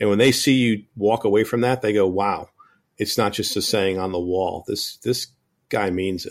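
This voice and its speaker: On a very clean recording with a silent background, a man with an American accent uses a normal speaking voice at a fairly low pitch, moderate pace, and ordinary pitch variation. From Connecticut, US. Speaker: air conditioning business owner. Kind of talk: casual interview chat.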